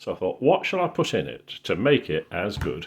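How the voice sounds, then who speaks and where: A man is speaking. He talks with a Yorkshire accent. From Yorkshire, northern England. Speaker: cooking video maker. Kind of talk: casual tutorial. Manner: casual, hesitant with fillers.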